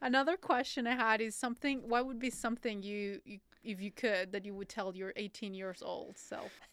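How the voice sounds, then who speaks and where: A woman with a Spanish accent speaks at a moderate pace with hardly any pauses, using a fairly high pitch, ordinary pitch variation and big swings in loudness. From Colombia. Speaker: podcast host. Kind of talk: interview conversation.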